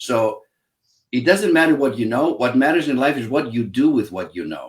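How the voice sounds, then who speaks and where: Someone speaks with a Greek accent. The pace is moderate and the intonation lively. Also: man, medium pitch for a man. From Greece (Athens). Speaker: psychologist, happiness expert and author. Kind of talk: interview. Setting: live online show.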